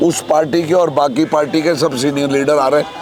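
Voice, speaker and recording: With a fairly high pitch and ordinary pitch variation, a man talks while noticeable background noise carries on. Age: 60s. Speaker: politician. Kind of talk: interview. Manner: animated.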